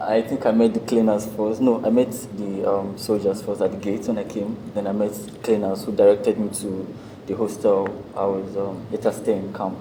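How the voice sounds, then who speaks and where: A man's fairly low voice holds a flat, monotone intonation at a moderate pace while noticeable noise sounds behind him. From Nigeria. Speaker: national youth service member. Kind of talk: casual group chat. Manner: halting, many fillers.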